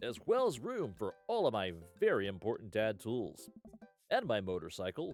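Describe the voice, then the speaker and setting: A man is doing a put-on character voice. Faint music plays in the background. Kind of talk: hammy commercial-style delivery. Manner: cheesy, over-the-top sales pitch.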